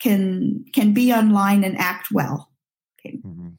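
Somewhat breathy, a woman with an American accent speaks at a fairly high pitch in a dark, mellow tone, with ordinary pitch variation. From Nigeria, later US from age 14. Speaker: pastoral counselor. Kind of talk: interview.

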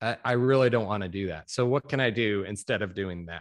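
Against a quiet background, a man with an American accent and an ordinary speaking voice talks at a moderate pace in a fairly low pitch with ordinary pitch variation. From US Midwest, Chicago suburbs. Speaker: reptile breeder. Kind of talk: interview.

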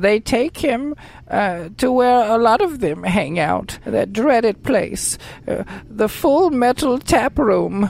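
Over light background noise, a woman speaks at a very slow pace in a fairly high voice. Her pitch swings very widely while her loudness stays very even. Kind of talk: comic old-lady voice. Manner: pleading, fussy, indignant.

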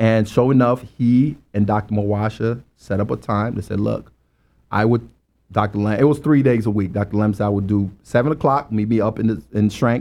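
A man's dark, mellow, fairly low voice at a moderate pace, with ordinary pitch variation. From Liberia. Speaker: engineer. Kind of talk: interview. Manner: halting.

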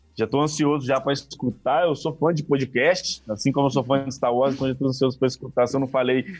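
Here is a man with an ordinary speaking voice and a fairly high pitch. He talks at a fairly quick pace with hardly any pauses and fairly even intonation. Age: 20s. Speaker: tech startup CEO. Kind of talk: podcast interview.

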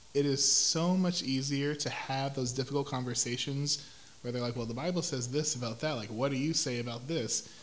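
This man talks at a fairly quick pace with an American accent, fairly high pitch and fairly even intonation. His voice is somewhat breathy, with audible room echo around it. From Houston, Texas. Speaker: educator, church praise team singer. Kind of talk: casual interview.

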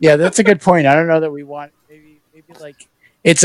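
Fairly quick speech in a normal speaking voice with an American accent, ordinary pitch variation, and a dry, close sound with no echo. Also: man. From Massachusetts. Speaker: podcast host. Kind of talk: casual chat.

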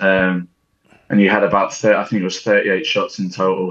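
Moderate pace from a man with a plain, everyday voice and fairly low pitch. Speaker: footballer. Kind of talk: casual chat. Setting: video call.

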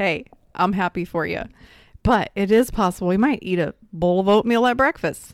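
An ordinary speaking voice with ordinary pitch variation at a moderate pace, in a dry, close sound with no echo. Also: woman, medium pitch for a woman. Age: 30s. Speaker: lifestyle coach and podcast co-host. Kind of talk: casual chat.

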